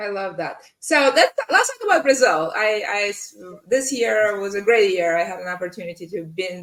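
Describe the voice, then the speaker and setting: A woman with a slight non-native accent speaks at a medium pitch, her loudness swinging widely. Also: moderate pace. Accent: slight foreign. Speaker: podcast host, in-house lawyer. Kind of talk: interview podcast.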